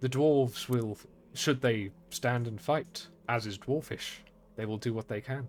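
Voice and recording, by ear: Ordinary pitch variation in a reading aloud in a natural voice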